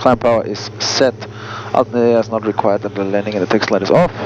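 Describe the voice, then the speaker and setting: Noticeable background noise surrounds a man speaking at a moderate pace in a dry sound with no echo. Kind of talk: radio calls and checklist narration. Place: plane. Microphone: headset.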